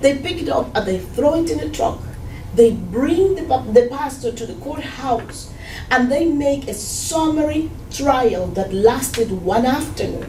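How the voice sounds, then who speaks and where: A woman with a Spanish accent speaks fairly slowly and high in pitch, with lively intonation, audible room echo and noticeable background noise. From Cuba. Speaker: Cuban immigrant churchgoer. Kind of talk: testimony.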